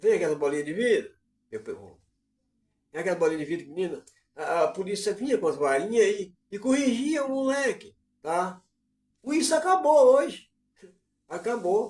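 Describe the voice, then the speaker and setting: The volume swings widely and the pitch leaps up and down a great deal. Long pauses come often. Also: man, high pitch for a man, moderate pace. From Brazil, Bahia. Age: 60s. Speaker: online commentator, live streamer. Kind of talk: live stream monologue. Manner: casual, conversational.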